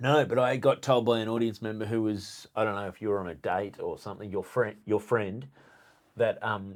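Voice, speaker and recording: In a strong Australian accent, a man talks at a fairly quick pace with fairly low pitch and fairly even intonation, on a very clean recording with a silent background. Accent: Australian, noticeably strong. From Australia, rural New South Wales. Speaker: stand-up comedian, podcast host. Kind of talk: casual chat. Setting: studio.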